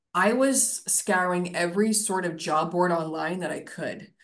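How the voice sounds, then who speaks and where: The speaker's pitch varies in an ordinary way, and audible room echo surrounds the voice. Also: woman. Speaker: career professional. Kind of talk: casual chat.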